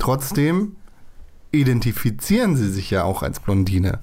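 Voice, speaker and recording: A man's voice with a dark, mellow tone. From Germany. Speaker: podcast host. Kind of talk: casual chat.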